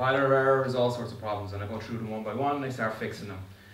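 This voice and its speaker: A man with ordinary pitch variation, light background noise and audible room echo. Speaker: conference speaker. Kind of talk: tech talk. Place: meeting room.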